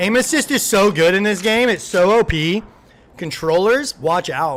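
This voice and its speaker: Over sound effects in the background, a man does a whiny, put-on character voice at high pitch and a moderate pace. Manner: whining, complaining, exaggerated.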